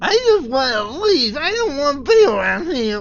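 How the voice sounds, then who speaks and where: A put-on character voice, high-pitched with very wide pitch swings, at a moderate pace. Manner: pleading, wants to leave.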